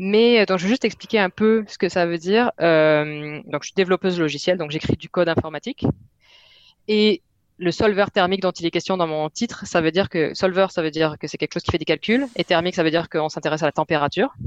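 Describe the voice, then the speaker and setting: This woman talks very fast at a fairly low pitch. The sound is dry and close with no echo, over a quiet background. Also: ordinary pitch variation. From southwest France. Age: 30s. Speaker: software developer. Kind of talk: casual interview.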